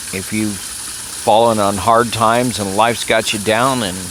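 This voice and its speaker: A man with an American accent speaks at a fairly slow pace and a fairly low pitch, in a monotone, flat intonation. Noticeable background noise and audible room echo surround him. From Texas. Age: 70s. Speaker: political commentator vlogger. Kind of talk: personal monologue. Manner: hesitant, many fillers.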